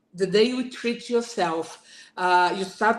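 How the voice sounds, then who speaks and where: A woman's fairly high voice, lively in intonation, at a very slow pace. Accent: Portuguese. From Brazil. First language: Portuguese. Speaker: burnout speaker, former manager. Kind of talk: talk. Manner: halting.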